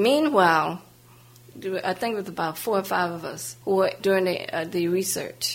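A plain, everyday voice carries lively intonation. The pace is moderate. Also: woman, medium pitch for a woman. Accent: American. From US South, New Orleans, Louisiana. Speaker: civil rights activist. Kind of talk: biographical interview.

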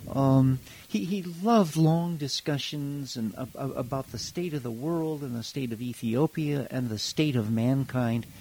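The man has a dark, mellow tone at a fairly high pitch, with ordinary pitch variation and a fairly slow pace with hardly any pauses. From Hawaii, US. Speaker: educator and former Peace Corps volunteer. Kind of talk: casual interview. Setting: pre-recorded interview, moves away from mic. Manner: animated.

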